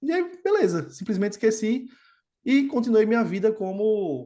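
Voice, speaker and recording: A man talks, his pitch rising and falling in very wide swings. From Brazil, Natal, Rio Grande do Norte (Northeast). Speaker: quant trading executive. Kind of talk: podcast interview. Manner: casual, conversational.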